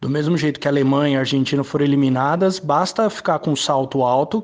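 A man talks at a fairly quick pace. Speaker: football fan pundit. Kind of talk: football commentary. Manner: emphatic.

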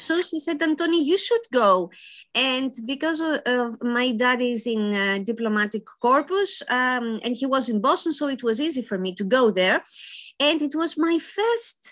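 A woman with a Greek accent speaks at a fairly slow pace in a high-pitched voice with lively intonation. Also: quiet background. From Greece (Athens). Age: 50s. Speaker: library association president. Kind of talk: interview.

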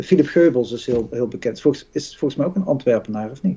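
The speaker is a man. His tone is dark and mellow. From North Brabant, Netherlands. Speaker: podcast co-host. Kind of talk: casual chat. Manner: halting, repeats words.

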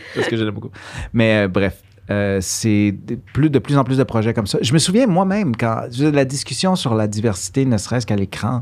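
A man with a normal speaking voice keeps a medium pitch, a moderate pace and lively intonation. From Quebec (Montreal), born in Guatemala. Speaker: actor and musician. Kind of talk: casual interview. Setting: studio.

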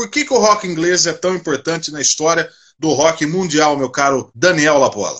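Pitched high, a man speaks at a moderate pace. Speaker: live stream host. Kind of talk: casual chat.

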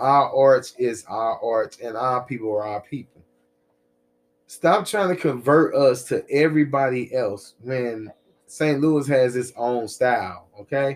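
A man with a normal speaking voice at medium pitch, ordinary pitch variation and a fairly slow pace, on a very clean recording with a silent background. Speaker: podcast host. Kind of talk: casual podcast chat.

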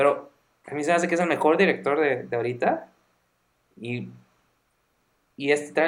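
With a Mexican accent and a fairly high pitch, a man talks at a fairly quick pace with ordinary pitch variation and long, frequent pauses. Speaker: podcast co-host. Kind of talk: casual chat.

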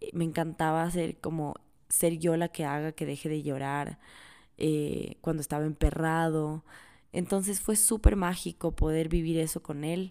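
In a very clean recording with a silent background, a woman with a very deep, low pitch and a dark, mellow tone speaks at a fairly slow pace with fairly even intonation. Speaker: podcast host. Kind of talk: personal monologue.

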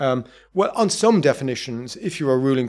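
A man with an Irish accent speaks at a very fast pace and medium pitch. The recording is very clean, with a silent background. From Ireland. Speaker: professor of political thought. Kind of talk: interview.

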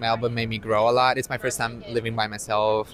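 Music plays behind a man speaking in an Italian accent. His pitch is medium and his pace moderate. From Italy. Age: 20s. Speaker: student. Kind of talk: casual chat.

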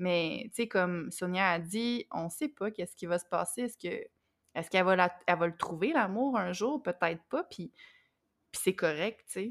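Lively in intonation, a woman with an ordinary speaking voice talks at a moderate pace, the sound dry and close with no echo. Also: medium pitch for a woman, very clean recording, silent background. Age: 30s. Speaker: podcast co-host. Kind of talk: casual chat.

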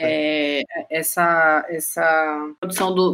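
The tone is bright and sharp, and the intonation stays monotone and flat, with a Bahian accent. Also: woman. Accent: Bahian Northeastern Brazilian Portuguese. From Bahia, Juazeiro (Brazilian Northeast). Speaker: graphic designer. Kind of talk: casual chat.

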